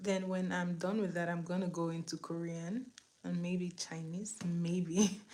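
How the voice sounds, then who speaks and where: Fairly low in pitch and somewhat breathy, a woman speaks at a fairly slow pace. Her intonation stays fairly even. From Nigeria. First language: Igbo. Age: 20s. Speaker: beauty livestreamer. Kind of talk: makeup tutorial livestream. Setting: live stream on camera. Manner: casual, chatty.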